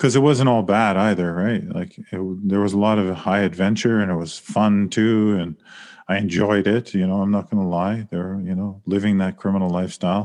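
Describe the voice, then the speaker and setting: A man speaks with a Canadian accent in a normal speaking voice, fairly low in pitch. He goes at a moderate pace against a quiet background. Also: fairly even intonation. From Saskatchewan, Canada. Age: 40s. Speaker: author and professor. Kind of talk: interview.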